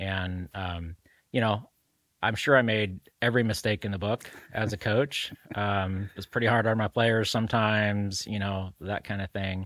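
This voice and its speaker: A man speaks in a plain, everyday voice, fairly low in pitch, at a moderate pace with fairly even intonation. The recording is very clean and dry, close-up with no echo and a silent background. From Salem, Oregon (born in Mexico, moved young). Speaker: marketing company owner. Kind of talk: interview.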